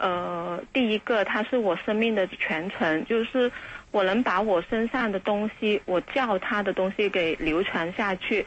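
A woman speaks at a medium pitch and a fairly slow pace, her loudness very even and her pitch varying in an ordinary way, over noticeable background noise. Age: 40s. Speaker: radio call-in listener. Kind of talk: call-in conversation.

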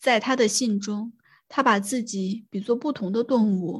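This woman's voice sits at a fairly high pitch and sounds somewhat breathy. She talks at a fairly slow pace with ordinary pitch variation. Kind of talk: reading aloud an essay from a book, literary audiobook style. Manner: measured, even and steady reading pace.

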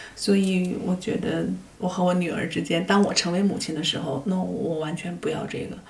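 Through noticeable background noise and audible room echo, a woman speaks at a fairly low pitch and a moderate pace with fairly even intonation. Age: 50s. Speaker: film director. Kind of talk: interview conversation. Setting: face-to-face recording.

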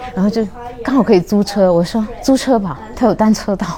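Over noticeable background noise, a woman with a slight Cantonese accent speaks at a moderate pace, her fairly high voice carrying lively intonation. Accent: slight Cantonese accent in Mandarin. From Shunde, Guangdong, southern China. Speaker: former neuroscience and language researcher, traveller. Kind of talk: casual interview chat.

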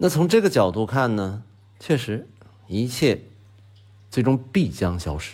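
With long, frequent pauses, a man speaks at a fairly slow pace in a somewhat breathy voice of medium pitch that swings very widely. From Northeast China. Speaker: podcast host. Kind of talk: scripted monologue. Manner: relaxed with frequent filler particles.

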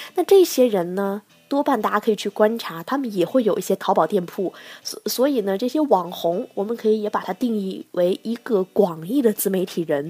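With music playing behind her, a woman talks at a moderate pace in an animated tone with lively intonation. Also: medium pitch for a woman, dry, close sound with no echo. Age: 20s. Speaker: podcast host on e-commerce. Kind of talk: casual solo podcast talk. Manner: animated, chatty with frequent laughs.

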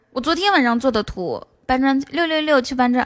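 Delivered at a fairly quick pace, the speech has lively intonation and an animated tone. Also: woman. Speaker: livestream host. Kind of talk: casual chat. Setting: livestream.

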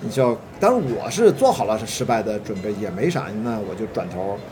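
A man at a medium pitch is heard through audible room echo, with noticeable background noise as well. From Qingdao, China. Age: 40s. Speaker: film producer. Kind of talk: casual chat. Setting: hotel tea room.

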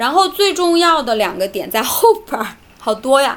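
Her pitch swings very widely as this woman talks. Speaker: children's English teacher. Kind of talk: casual chat.

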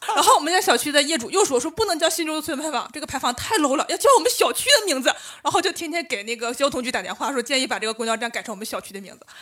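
Over noticeable background noise, a woman with a high pitch races along at a very fast pace with hardly any pauses, very wide pitch swings and big swings in loudness. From Northeast China. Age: 30s. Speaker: urban planner and amateur stand-up comedian. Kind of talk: casual chat.

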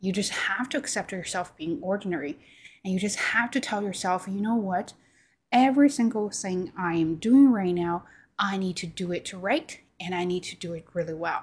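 On a very clean recording with a silent background, a woman with a non-native accent speaks at a moderate pace in a medium, somewhat breathy voice with lively intonation. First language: Chinese. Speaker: YouTuber and podcaster. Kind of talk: casual monologue to camera. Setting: home recording on camera. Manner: halting, with filler words and repetitions.

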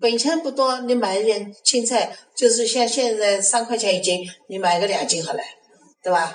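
The pace is moderate. A woman speaks in a fairly high pitch. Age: 60s. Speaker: retired community volunteer. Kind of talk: casual chat.

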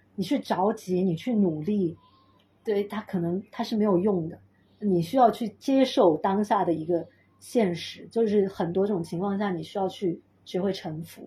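Her voice has a dark, mellow tone and is somewhat breathy. The woman speaks at a medium pitch. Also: ordinary pitch variation, moderate pace. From Chengdu, Sichuan, China. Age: 30s. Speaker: sound healer and pilates teacher. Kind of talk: casual interview chat.

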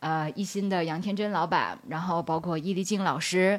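In a normal speaking voice, a woman keeps a moderate pace. Her pitch sits in the medium range. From Beijing, China. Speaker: talent agent and social media strategist. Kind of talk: live public talk with audience.

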